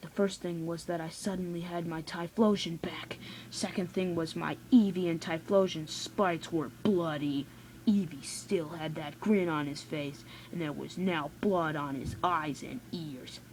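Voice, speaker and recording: Using a put-on character voice, a woman growls at a fairly low pitch and moderate pace over light background noise. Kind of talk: horror story reading. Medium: read story. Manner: earnest, slightly stumbling.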